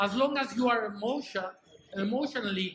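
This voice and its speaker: A man uses a raised, projected voice at a fairly slow pace over noticeable background noise. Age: 60s. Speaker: conference speaker. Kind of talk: motivational speech. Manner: hesitant, with fillers.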